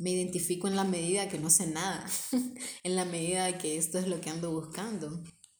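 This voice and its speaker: With audible room echo, a woman talks fairly quickly at a fairly low pitch in a monotone, flat delivery. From Honduras, Tegucigalpa. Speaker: podcast co-host. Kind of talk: casual chat.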